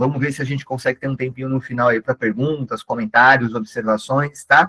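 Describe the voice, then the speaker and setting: The sound is dry and close, without any echo. A man talks there at a medium pitch, varying it in an ordinary way. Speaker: catechist and digital missionary. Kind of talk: online training lecture. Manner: animated.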